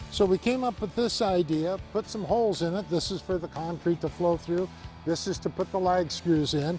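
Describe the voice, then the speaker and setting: Over music in the background, a man with a high voice speaks at a moderate pace. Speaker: co-inventor of a fence bracket. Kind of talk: interview answer.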